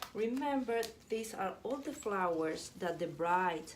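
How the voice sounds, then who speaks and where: With a non-native accent, a woman speaks with lively intonation amid audible room echo. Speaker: florist. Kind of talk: tutorial. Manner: halting, self-correcting.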